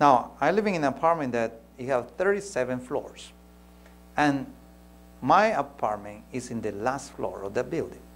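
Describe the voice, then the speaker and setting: A man talks at a fairly slow pace with a Spanish accent. His pitch swings very widely. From Peru. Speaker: pastor; preacher or speaker. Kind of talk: sermon. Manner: halting, with frequent repetitions. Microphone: lapel.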